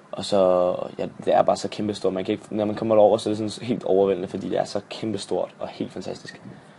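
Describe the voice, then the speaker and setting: With noticeable background noise, a man talks at a very fast pace in a monotone, flat intonation with hardly any pauses. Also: fairly low pitch for a man. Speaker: vlogger, exchange student. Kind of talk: casual vlog. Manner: hesitant, many fillers.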